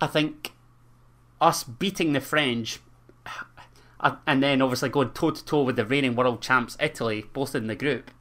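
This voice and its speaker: Speaking at a moderate pace with long, frequent pauses, a man with a Scottish accent uses a medium pitch and ordinary pitch variation. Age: 20s. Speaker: football podcast co-host. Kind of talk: casual chat.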